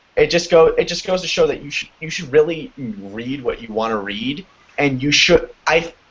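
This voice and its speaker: This man has a fairly high pitch and talks at a moderate pace, with big swings in loudness. Noticeable background noise can be heard. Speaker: fan fiction writer. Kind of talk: casual chat. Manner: halting.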